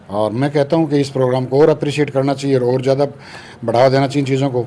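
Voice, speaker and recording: A man speaks at a medium pitch in monotone, flat intonation. Noticeable background noise runs underneath. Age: 60s. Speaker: radiologist doctor. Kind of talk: casual interview.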